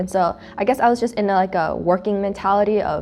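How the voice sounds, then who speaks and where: A woman with a Korean accent talks at a fairly quick pace, her pitch medium with ordinary variation. Noticeable background noise runs under her voice. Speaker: student club host. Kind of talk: casual chat. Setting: sitting around eating food.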